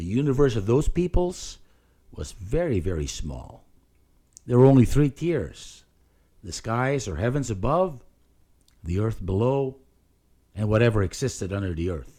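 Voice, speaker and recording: A man speaks in a dark, mellow tone, with long, frequent pauses, big swings in loudness and very wide pitch swings. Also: medium pitch for a man, moderate pace. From Philippines. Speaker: pastor and podcast host. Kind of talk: solo spoken reflection.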